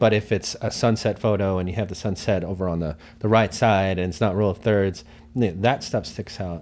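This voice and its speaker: A man speaks at a fairly quick pace with a fairly low pitch. It is an ordinary speaking voice with fairly even intonation. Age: 30s. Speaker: photographer. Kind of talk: casual chat.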